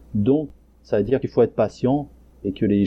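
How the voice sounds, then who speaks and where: A man's voice with ordinary pitch variation. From France, Isère (rural, near Lyon). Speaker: Korean adoptee, blogger. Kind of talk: interview testimony. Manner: hesitant, many fillers. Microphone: crackling sound during interview.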